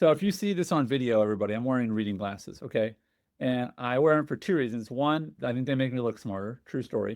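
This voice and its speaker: A man speaks at a very fast pace with a medium pitch. His tone is animated and his intonation lively. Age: 40s. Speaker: podcast host and baseball umpire. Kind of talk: casual interview chat.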